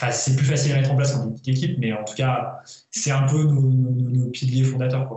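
Monotone, flat intonation from a man at medium pitch and a fairly quick pace. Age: 30s. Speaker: entrepreneur and former elite cyclist. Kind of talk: interview.

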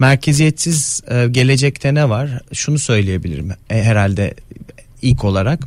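This man has a normal speaking voice at a medium pitch, with lively intonation. He talks at a fairly slow pace. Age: 30s. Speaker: economist. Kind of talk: interview.

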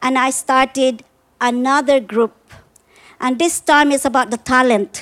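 Here a woman with a Filipino accent talks at a high pitch and a moderate pace. The sound is dry and close, with no echo. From Philippines. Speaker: storyteller. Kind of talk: live storytelling. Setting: backyard with live audience.

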